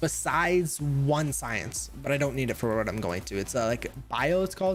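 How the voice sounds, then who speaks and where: A man talks with very wide swings in pitch. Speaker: gaming streamer. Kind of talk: live stream chat. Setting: home live stream with webcam. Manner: hesitant, many uhs; fast.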